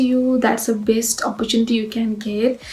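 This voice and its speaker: Over noticeable background noise, a woman speaks at a high pitch and a fairly quick pace with fairly even intonation. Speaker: graduate student vlogger. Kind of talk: casual advice vlog. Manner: hesitant, many fillers.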